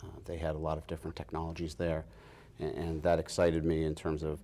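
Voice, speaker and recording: Very deep, low male voice with a dark, mellow tone at a very fast pace, on a very clean recording with a silent background. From Massachusetts. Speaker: biotech company founder and president. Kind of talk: interview. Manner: hesitant, many fillers and restarts.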